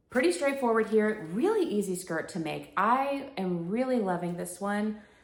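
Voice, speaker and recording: A woman speaks at a moderate pace with lively intonation. Room echo is audible. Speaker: sewing vlogger. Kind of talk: casual chat. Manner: conversational, filler-heavy.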